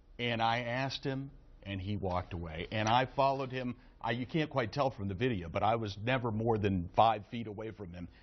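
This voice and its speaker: A man talks at a fairly quick pace in an ordinary speaking voice. His pitch is medium, with ordinary pitch variation. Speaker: TV news reporter. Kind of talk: live news report.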